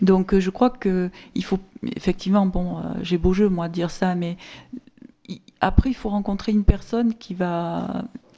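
The words come out fairly slowly, in a flat, monotone line. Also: woman. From southern France, Sommières (Gard). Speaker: local official. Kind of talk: conference talk.

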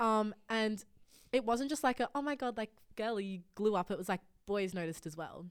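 On a very clean recording with a silent background, a woman with an Australian accent talks at a moderate pace, her fairly high pitch showing ordinary pitch variation. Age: young. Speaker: podcast guest. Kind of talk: casual chat.

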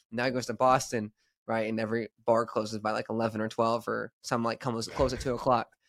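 Recorded very cleanly with a silent background and a dry, close sound with no echo, a man in a normal speaking voice talks at a fairly quick pace and medium pitch with an American accent. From Texas, small town. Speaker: podcast host, sales office manager. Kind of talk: casual chat.

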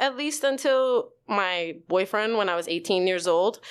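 Lively intonation marks this speech in a New York accent at a moderate pace. The recording is very clean, with a silent background. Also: woman. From New York, the Bronx. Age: 30s. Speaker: actor and writer. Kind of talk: casual chat; testimony.

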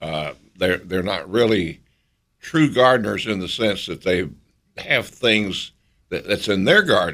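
Speaking with a Southern US accent, a man with a fairly low pitch uses lively intonation and takes long, frequent pauses. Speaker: radio co-host. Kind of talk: radio call-in show. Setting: studio.

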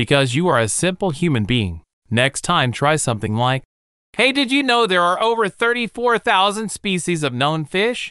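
A man puts on a character voice, high-pitched with very wide pitch swings, at a moderate pace against a quiet background. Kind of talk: robotic comedy. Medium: audio drama.

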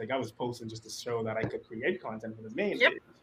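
This man's voice has a somewhat breathy quality. He delivers his words very fast. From Bahamas, Nassau. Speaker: conservation communications officer. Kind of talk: casual chat.

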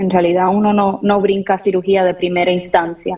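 This woman speaks in a Puerto Rican accent. Her pitch sits at a medium level. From Puerto Rico. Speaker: ophthalmologist. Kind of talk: expert interview on radio.

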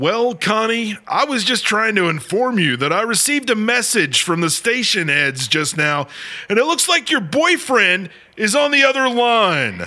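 In a raised, projected voice, a man speaks at a moderate pace with a theatrical, playful, bright and sharp tone, his high pitch swinging very widely while his loudness stays very even. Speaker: radio host. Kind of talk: scripted horror-comedy radio show, ghost story host. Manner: theatrical, spooky-playful showman patter, announcer-like and over-the-top.

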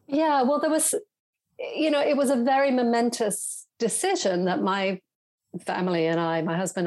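Speaking at a moderate pace with lively intonation, a woman with a British accent is heard on a very clean recording against a silent background. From southern England. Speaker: writer and journalist. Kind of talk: interview conversation. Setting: home office.

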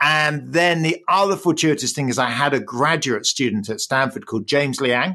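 With an English accent, a man speaks with lively intonation. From England. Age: 50s. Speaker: economics professor. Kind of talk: interview.

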